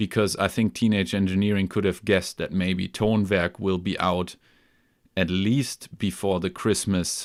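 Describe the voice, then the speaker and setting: In a very clean recording with a silent background, a man with a German accent speaks at a fairly slow pace with a very deep, low pitch, a relaxed tone and fairly even intonation. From Germany, near Hamburg. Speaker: music gear YouTuber. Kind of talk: live stream chat. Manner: relaxed, with many fillers.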